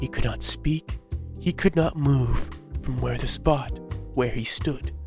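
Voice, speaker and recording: This man talks rather slowly. Behind him, music is playing. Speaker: voice actor. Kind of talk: fairy tale read-aloud.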